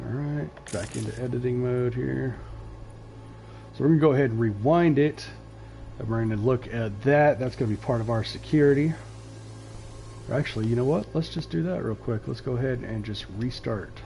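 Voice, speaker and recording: A man speaks quietly at a fairly quick pace. Long, frequent pauses break up his speech. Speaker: gaming streamer. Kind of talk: live gameplay commentary. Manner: quiet, focused.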